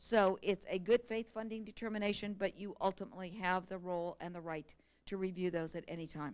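The speech moves at a fairly quick pace with fairly even intonation and big swings in loudness. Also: woman, medium pitch for a woman. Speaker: state education staff presenter. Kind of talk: formal presentation to a board. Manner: fast.

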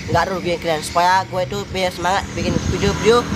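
A man talks at a fairly quick pace amid loud background noise. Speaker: vlogger. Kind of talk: casual vlog chat. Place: garden. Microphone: phone near.

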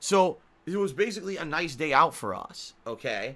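A man's high-pitched voice with a bright, sharp tone. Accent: American. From Connecticut. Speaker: gaming streamer. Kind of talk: live stream chat.

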